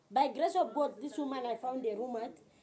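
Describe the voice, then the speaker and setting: Over noticeable background noise, a woman speaks at a fairly slow pace with a high pitch and lively intonation. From Zambia, Western Province. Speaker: vlogger. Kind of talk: personal storytelling.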